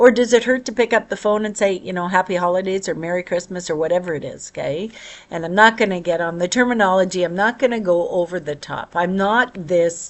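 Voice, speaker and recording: Very fast speech from a woman at a medium pitch, with hardly any pauses and ordinary pitch variation. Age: 60s. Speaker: vlogger. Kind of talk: casual personal monologue. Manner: conversational, halting with fillers.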